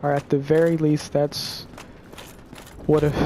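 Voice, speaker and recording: Noticeable background noise surrounds a man whose voice is fairly high in pitch. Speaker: gaming video creator. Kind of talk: opinion monologue. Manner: halting, repeats words; casual.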